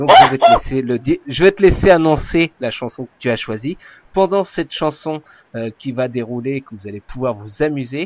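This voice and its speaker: Lively intonation and big swings in loudness mark this man's fairly high-pitched voice, delivered at a moderate pace with a dry, close sound and no echo. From Mayenne, France. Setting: radio.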